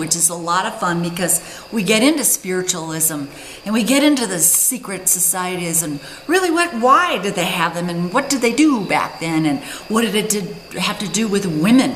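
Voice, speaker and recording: Over noticeable background noise, a woman of medium pitch speaks fairly quickly in an enthusiastic tone with lively intonation. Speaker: author reading from her own book. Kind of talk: casual talk to camera introducing her book. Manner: chatty, enthusiastic.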